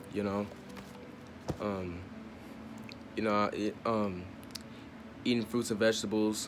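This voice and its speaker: With music in the background, a man of fairly low pitch talks at a very slow pace using fairly even intonation. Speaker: spiritual self-help vlogger. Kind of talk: casual talk to camera. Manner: halting, stuttering.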